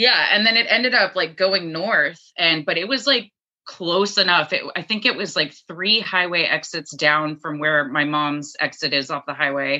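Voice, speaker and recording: Barely pausing, a woman with a fairly low pitch talks at a moderate pace with lively intonation. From Dallas, Texas, with summers in Maine. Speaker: podcast co-host. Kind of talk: casual chat with research presentation. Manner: hesitant, many fillers.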